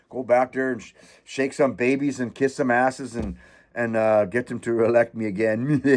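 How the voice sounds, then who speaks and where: Animated and fairly quick, a man speaks against a quiet background. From Canada. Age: 60s. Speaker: political commentary YouTuber. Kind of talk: casual rant. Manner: halting.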